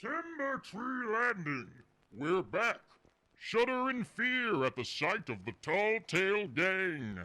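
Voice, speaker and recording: The speaker uses a put-on character voice. Each word comes out very slowly. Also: man, high pitch for a man. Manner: booming, boastful.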